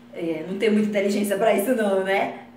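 With a northeastern Brazilian accent, a woman speaks amid light background noise and audible room echo. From Northeast Brazil. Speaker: comedy vlogger. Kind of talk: casual talk to camera. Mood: proud, playful. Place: bathroom.

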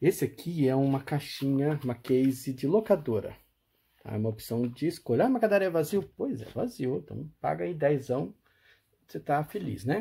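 This man has a dark, mellow, somewhat breathy tone and a fairly high pitch, with very wide pitch swings. He talks at a moderate pace with a Brazilian accent. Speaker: auction seller and retro game collector. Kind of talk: casual show-and-tell commentary. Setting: video. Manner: animated, enthusiastic, with diminutives like 'bonitinho' and 'lindão'. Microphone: phone near.

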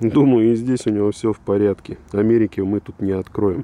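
A man with a fairly low pitch and a dark, mellow tone talks at a moderate pace with ordinary pitch variation. The sound is dry and close, with no echo. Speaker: car oil reviewer. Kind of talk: product review. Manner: casual.

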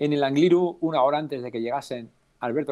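A man's voice with ordinary pitch variation. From Navarra, Spain (Alsasua); Navarra, Spain. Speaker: cycling race announcer. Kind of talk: casual interview. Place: home room. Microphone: unstable connection.

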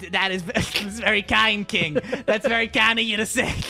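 In a put-on character voice, a female-sounding speaker talks squeaky and fairly high-pitched at a moderate pace.

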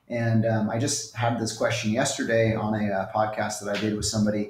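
The voice is somewhat breathy. Room echo is audible. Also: man. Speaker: remote guest. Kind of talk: interview answer. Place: home room. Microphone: earbuds.

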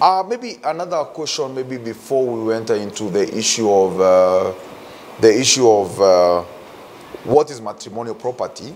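Amid faint background noise, a man talks at a moderate pace with a fairly low pitch, a slightly mellow tone and lively intonation.

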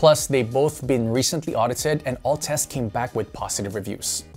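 Faint music can be heard in the background. Over it, a man talks. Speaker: tech reviewer host. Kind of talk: tutorial. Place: studio.

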